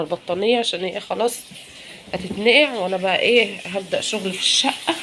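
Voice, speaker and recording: With an Egyptian accent, a woman talks at a moderate pace with ordinary pitch variation over noticeable background noise. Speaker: home lifestyle vlogger. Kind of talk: home cleaning vlog. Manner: casual, chatty.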